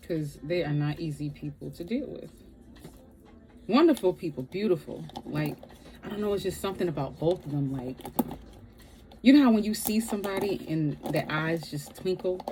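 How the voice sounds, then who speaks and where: With noticeable background noise behind her, a woman speaks in a fairly low pitch with lively intonation and long, frequent pauses. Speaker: vlogger. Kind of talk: casual storytime monologue. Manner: slow; rambling, halting.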